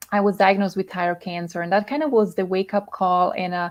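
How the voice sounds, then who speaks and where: A woman speaks with a Swiss Italian accent. Her pitch is medium and her intonation fairly even. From Italian-speaking Switzerland. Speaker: health and emotional coach. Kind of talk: interview. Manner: halting, many fillers.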